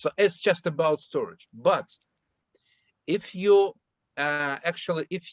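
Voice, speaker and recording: Speech in a Russian accent moves at a very slow pace with ordinary pitch variation and long, frequent pauses. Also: man. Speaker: workshop participant asking a question. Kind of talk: academic Q&A discussion. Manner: halting.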